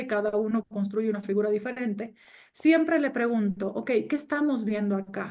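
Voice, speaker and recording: A woman speaks at a moderate pace. Her voice is fairly high with ordinary pitch variation. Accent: Cuban. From Cuba. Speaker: business coach and trainer. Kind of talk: online course lecture.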